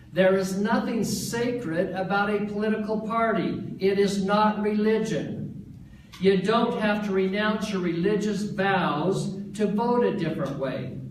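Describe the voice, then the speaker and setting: A man with an American accent talks at a high pitch and a fairly slow pace, with hardly any pauses and fairly even intonation. Room echo is audible, and background noise is noticeable. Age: 60s. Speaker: political candidate. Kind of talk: campaign announcement speech. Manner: formal.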